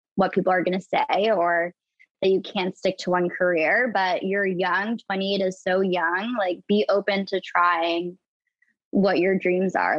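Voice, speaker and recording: A woman with a plain, everyday voice, medium in pitch, at a fairly slow pace. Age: 20s. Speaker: reality TV personality. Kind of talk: casual chat.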